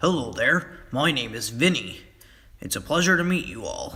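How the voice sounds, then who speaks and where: Putting on a character voice, a man talks at a moderate pace in a high pitch. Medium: read story.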